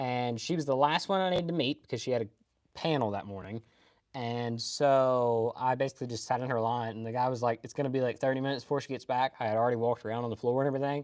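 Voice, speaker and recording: Someone with a Kentucky accent talks at a very fast pace against a quiet background. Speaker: anime streamer. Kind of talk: casual live stream chat. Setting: live stream.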